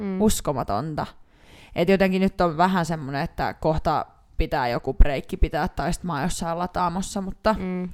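The recording is very clean with a silent background. A woman speaks with fairly low pitch and ordinary pitch variation. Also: moderate pace. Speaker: podcast co-host. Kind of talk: casual chat. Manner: loud.

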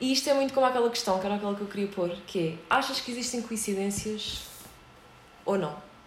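A woman speaks very fast at a fairly high pitch with ordinary pitch variation, against noticeable background noise and audible room echo. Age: 30s. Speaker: podcast host. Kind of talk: casual chat.

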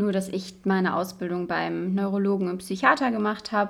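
At a fairly quick pace, a woman with medium pitch speaks in a normal speaking voice with fairly even intonation. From western Germany, Cologne. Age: 20s. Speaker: medical student, podcast co-host. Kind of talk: casual chat.

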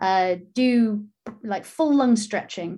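Over a quiet background, a woman speaks at a fairly slow pace. Her voice is somewhat breathy. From Wales, Pembrokeshire, then Canary Islands. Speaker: marine biologist and presenter. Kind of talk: casual interview chat.

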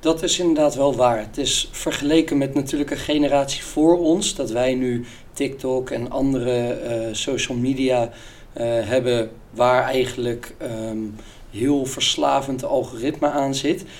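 Using a plain, everyday voice, a man talks at a fairly slow pace with a medium pitch and fairly even intonation. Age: 20s. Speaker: business student and sales employee. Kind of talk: casual interview.

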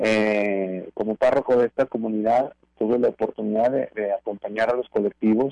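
A man's dark, mellow voice with fairly even intonation, dry and close with no echo. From Mexico, La Laguna region (Torreón). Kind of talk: radio interview.

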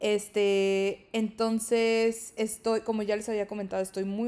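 A medium-pitched woman's voice, dark and mellow, at a fairly slow pace in a very clean recording with a silent background. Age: 20s. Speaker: podcast host. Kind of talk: casual monologue. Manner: filler-heavy, frequent 'este'.

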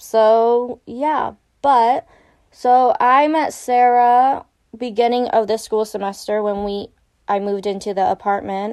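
In an ordinary speaking voice, a woman with a fairly high pitch talks at a fairly slow pace with ordinary pitch variation against a quiet background. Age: 20s. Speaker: college student podcaster. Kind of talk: casual chat.

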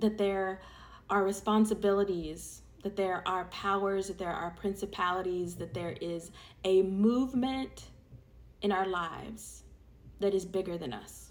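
Using a plain, everyday voice, a woman speaks at a medium pitch and a fairly slow pace with fairly even intonation. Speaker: prayer leader. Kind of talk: fervent public prayer, earnest and rhythmic with repeated phrases. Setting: online audio session for listeners. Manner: conversational and warm when addressing listeners.

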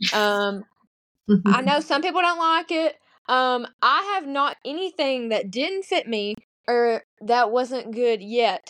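A woman speaks in a Southern US accent. Her high pitch swings very widely. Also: fairly slow pace. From US South, Arkansas. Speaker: teacher. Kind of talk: casual chat.

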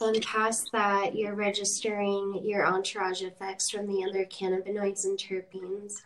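A woman with an American accent talks at a moderate pace with hardly any pauses. Her medium-pitched voice has a monotone, flat intonation. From Idaho and Sacramento, California. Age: 30s. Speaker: budtender and cannabis activist. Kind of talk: casual chat.

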